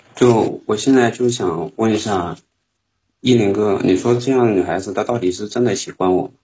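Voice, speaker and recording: Speaking at a moderate pace with a Northeastern Chinese accent, a man uses a fairly low, somewhat breathy voice and fairly even intonation. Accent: Northeastern Mandarin. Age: 20s. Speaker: caller. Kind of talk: call-in conversation. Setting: call into live stream.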